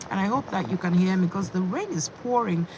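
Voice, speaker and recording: A woman speaks at a fairly low pitch and moderate pace. Noticeable background noise runs underneath. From England. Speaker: fitness youtuber. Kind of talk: casual live-stream chat. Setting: in a parked car.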